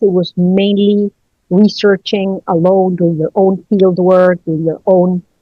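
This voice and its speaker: A woman with a Spanish accent at a fairly slow pace, in a dry, close sound with no echo, with music in the background. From Chile. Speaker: college research director. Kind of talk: podcast interview. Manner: hesitant, many fillers.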